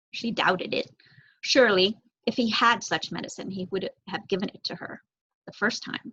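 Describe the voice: A woman speaks at a medium pitch with ordinary pitch variation. Her tone is fairly bright, with a slightly husky edge. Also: moderate pace.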